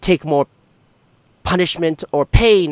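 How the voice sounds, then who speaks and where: A man delivers his lines fairly slowly in a put-on character voice. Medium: actual play. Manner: haughty, formal.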